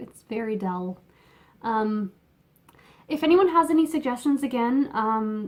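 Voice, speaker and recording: Speaking with a Canadian accent, a woman uses a high pitch and very wide pitch swings. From Canada. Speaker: knitting podcaster. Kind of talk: casual chat. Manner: halting, many fillers. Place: home room. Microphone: phone near.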